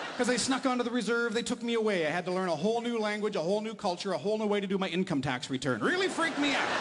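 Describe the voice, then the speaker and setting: With noticeable background noise behind him, a man speaks at a high pitch and a very fast pace, with lively intonation and hardly any pauses. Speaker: stand-up comedian and radio host. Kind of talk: stand-up comedy set for a live audience.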